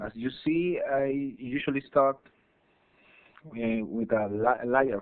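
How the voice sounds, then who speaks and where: The speech comes at a very slow pace with a Spanish accent. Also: man. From Chile. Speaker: digital artist. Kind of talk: tutorial. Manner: halting, many fillers and repetitions.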